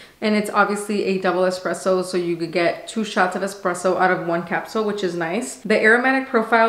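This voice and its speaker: There is audible room echo as a woman talks at a fairly quick pace with ordinary pitch variation. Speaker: coffee reviewer. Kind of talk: casual product review vlog. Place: kitchen.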